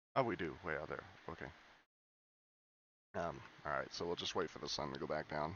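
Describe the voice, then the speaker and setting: Long, frequent pauses break up this man's speech. His very deep, low pitch carries vocal fry and ordinary variation. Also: fairly quick pace. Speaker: gaming YouTuber. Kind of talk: let's play commentary. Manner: halting, many fillers; casual.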